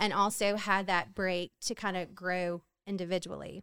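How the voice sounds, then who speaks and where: Someone speaks at a moderate pace in a Southern US accent. The very clean recording sounds dry and close, with no echo and a silent background. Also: woman. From Louisiana, Hammond. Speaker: homemaker. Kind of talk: testimony.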